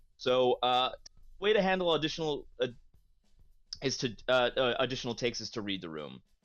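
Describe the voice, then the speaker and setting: A man's medium-pitched voice at a fairly quick pace, with very wide pitch swings, long, frequent pauses and music in the background. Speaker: voice actor. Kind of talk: interview.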